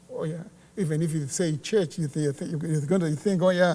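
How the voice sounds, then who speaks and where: A high-pitched man with a Zimbabwean accent, a dark, mellow tone, fairly even intonation and a fairly quick pace. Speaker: church worker. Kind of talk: casual chat. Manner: halting.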